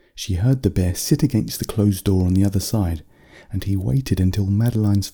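The speaker uses a natural reading voice. The delivery is plain reading.

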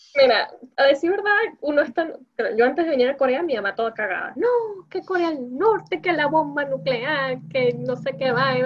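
High-pitched woman with very wide pitch swings at a moderate pace, over noticeable background noise. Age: 20s. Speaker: Venezuelan living in Korea, interviewee. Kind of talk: casual chat.

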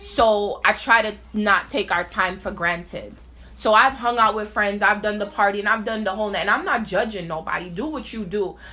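A woman speaks in a normal speaking voice at a fairly high pitch. Her pace is moderate, with ordinary pitch variation. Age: 30s. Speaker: mother of a child with sickle cell. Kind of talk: casual interview.

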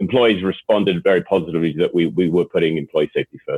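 Low-pitched and with a slightly husky edge, a man talks at a fast pace. His pitch varies in an ordinary way.

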